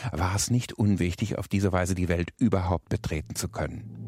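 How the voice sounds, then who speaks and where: A man's voice with a dark, mellow tone. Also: dry, close sound with no echo. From rural area. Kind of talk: reflective statement.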